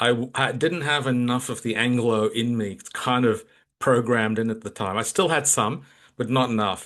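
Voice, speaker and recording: At a moderate pace, a man speaks at a medium pitch with ordinary pitch variation over a quiet background. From Australia (Melbourne), emigrated from Kolkata at 12. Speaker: leadership coach. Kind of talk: interview conversation.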